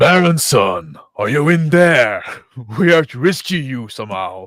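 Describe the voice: Over a very clean recording with a silent background, a man uses a put-on character voice at a medium pitch and moderate pace.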